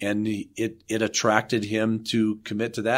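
On a very clean recording with a silent background, a man speaks at a moderate pace with a fairly low pitch. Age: 60s. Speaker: architect and development authority CEO. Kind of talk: interview.

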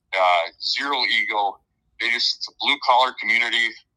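A man with an Upper Midwest accent speaks at a moderate pace. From Minnesota. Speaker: college hockey head coach. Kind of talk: interview answers, casual chat.

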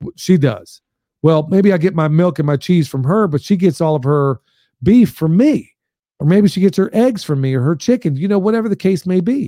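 A man with an American accent, dark, mellow tone, high pitch, lively intonation and a moderate pace. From Pennsylvania. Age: 50s. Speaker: farmer. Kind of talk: podcast interview.

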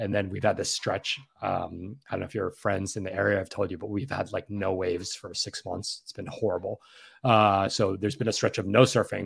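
In a very clean recording with a silent background, a man delivers his words at a fairly quick pace. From New York City. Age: 40s. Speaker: former finance executive turned content creator. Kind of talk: casual interview.

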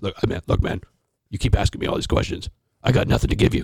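In a put-on character voice, a man talks at a fairly quick pace with a very deep, low pitch, the sound dry and close with no echo. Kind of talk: casual, blunt.

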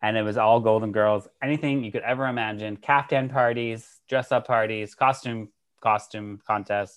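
Here a man with an American accent speaks at a medium pitch and a moderate pace. His intonation stays fairly even over a quiet background. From Massachusetts (Worcester). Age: 30s. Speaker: podcast host. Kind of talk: casual chat.

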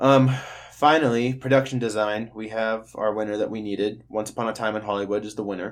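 A man with an ordinary speaking voice talks at a fairly quick pace, his fairly low pitch held in fairly even intonation. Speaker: podcast host. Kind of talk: casual banter podcast.

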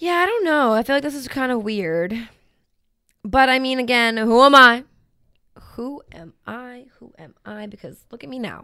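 A woman with a high pitch and a bright, sharp, bubbly tone speaks at a moderate pace with lively intonation. Her loudness swings widely, and she leaves long, frequent pauses. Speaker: podcast co-host. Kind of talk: casual chat.

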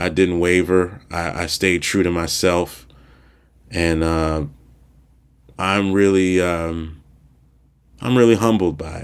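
With an American accent, a man talks at a very slow pace in a very deep, low voice, his intonation fairly even and his pauses long and frequent. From Maryland, Prince George's County. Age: 40s. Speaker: stand-up comedian and podcast host. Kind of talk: solo casual monologue. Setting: home recording in apartment. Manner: halting, many fillers and restarts.

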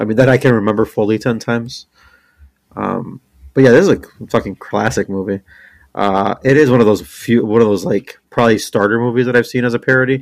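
A man with an unremarkable speaking voice at medium pitch, ordinary pitch variation and a fairly quick pace, on a very clean recording with a silent background. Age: 30s. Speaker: podcast co-host. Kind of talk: casual chat.

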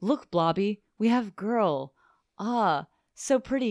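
In a very clean recording with a silent background and a dry, close sound with no echo, a woman talks very slowly in a medium pitch with a playful tone. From Lake Charles, Louisiana. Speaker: podcast co-host. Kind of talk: casual chat.

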